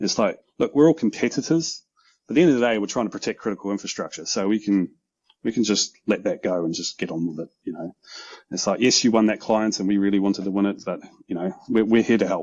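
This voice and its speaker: The speaker has a New Zealand accent and talks at a very fast pace. The intonation is lively. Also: man, fairly low pitch for a man. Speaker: OT security consultant. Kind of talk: casual interview conversation. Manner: hesitant, many ums.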